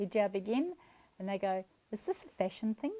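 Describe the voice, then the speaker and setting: With a New Zealand accent, a woman speaks at a medium pitch in a dark, mellow tone. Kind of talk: interview answer.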